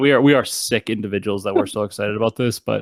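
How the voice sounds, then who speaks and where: At a very fast pace, a man with a fairly low pitch speaks in a dry, close sound with no echo. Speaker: gaming podcast host. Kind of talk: casual chat.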